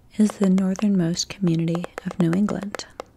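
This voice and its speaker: A soft-spoken woman talks at a medium pitch in a monotone, flat delivery. Her pace is fairly slow, with noticeable background noise behind her. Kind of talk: ASMR facts reading.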